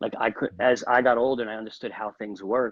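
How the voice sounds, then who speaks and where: In an American accent, a man speaks at a fairly quick pace. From New York. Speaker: real estate agent and channel host. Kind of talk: interview on a live video stream. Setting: live video call. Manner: fast.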